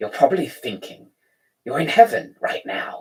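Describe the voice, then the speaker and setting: A man does a put-on character voice at a moderate pace, with hissing heard. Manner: menacing, mocking.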